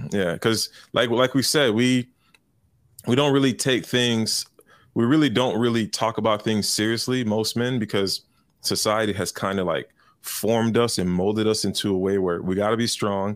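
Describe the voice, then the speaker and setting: On a very clean recording with a silent background, a man with an American accent uses an ordinary speaking voice at a medium pitch, talking at a moderate pace with fairly even intonation. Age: 30s. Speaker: podcast panelist. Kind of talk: casual chat.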